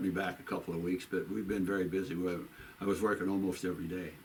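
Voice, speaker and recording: A man talks at a fairly quick pace with a Midwestern American accent. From US Midwest, St. Charles, Missouri. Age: 80s+. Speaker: local shop owner. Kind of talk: oral history interview. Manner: casual, repetitive phrasing.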